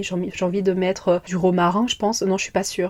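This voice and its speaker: Very fast speech from a woman at medium pitch in a dark, mellow tone. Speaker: podcast host. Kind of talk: casual chat. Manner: animated.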